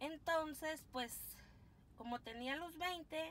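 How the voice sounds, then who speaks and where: A woman speaks at a very slow pace with lively intonation. There is light background noise. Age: 40s. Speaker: couponing vlogger. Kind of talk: casual haul video. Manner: chatty, animated. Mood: cheerful, chatty. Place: car. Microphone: phone near.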